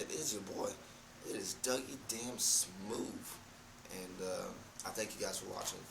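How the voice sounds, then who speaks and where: A man talks with fairly even intonation. Audible room echo and noticeable background noise surround his voice. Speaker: youtuber. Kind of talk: casual vlog monologue. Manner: halting.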